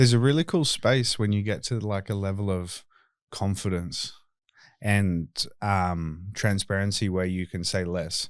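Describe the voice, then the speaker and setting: A man with an Australian accent, fairly low pitch and ordinary pitch variation, at a fairly slow pace, in a very clean recording with a silent background. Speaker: tattoo removal clinic owner and podcast host. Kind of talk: casual podcast chat. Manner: talkative.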